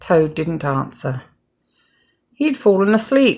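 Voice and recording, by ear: A woman at a slow pace and medium pitch with lively intonation.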